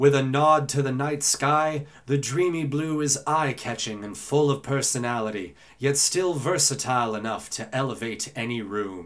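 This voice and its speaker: Here a man uses a normal speaking voice at a fairly high pitch with ordinary pitch variation. He keeps a moderate pace. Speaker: voice actor. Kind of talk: article reading.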